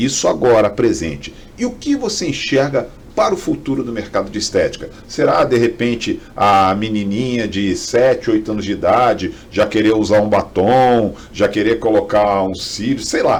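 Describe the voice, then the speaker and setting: A man speaks at a moderate pace with hardly any pauses. Noticeable background noise runs underneath. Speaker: podcast host. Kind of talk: interview.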